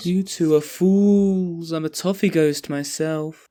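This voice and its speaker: This put-on character voice sits at middle pitch and moves at a fairly slow pace, on a very clean recording with a silent background. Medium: audio drama.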